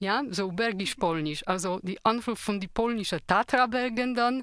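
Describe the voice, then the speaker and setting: A woman with a Polish accent speaks at a fairly slow pace with ordinary pitch variation, in a very clean recording with a silent background and a dry, close sound with no echo. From Poland. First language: Polish (speaking German). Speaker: radio trainee. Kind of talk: casual radio chat.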